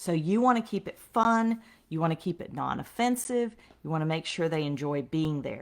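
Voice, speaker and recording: This is an ordinary speaking voice with lively intonation at a moderate pace. The recording is very clean and the background silent. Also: woman, fairly low pitch for a woman. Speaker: sales trainer for direct sales reps. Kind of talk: live-streamed sales training.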